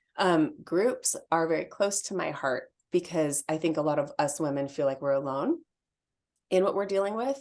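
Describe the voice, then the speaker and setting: With a very deep, low pitch, a woman speaks at a moderate pace. Her intonation is lively, and the background is quiet. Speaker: EFT tapping practitioner. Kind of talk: interview.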